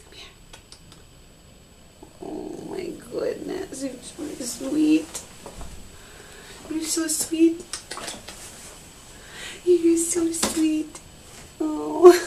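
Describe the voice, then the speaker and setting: Over light background noise, a woman talks very slowly at an extremely high pitch, leaving long, frequent pauses. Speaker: mother. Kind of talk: casual talk to pet. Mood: warm, excited. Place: bathroom. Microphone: phone near.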